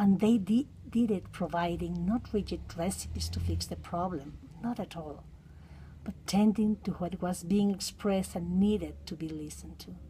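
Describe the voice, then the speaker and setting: A woman with a Mexican accent speaks with big swings in loudness. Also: moderate pace. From Mexico. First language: Spanish. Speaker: counseling psychotherapist. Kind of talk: reading aloud.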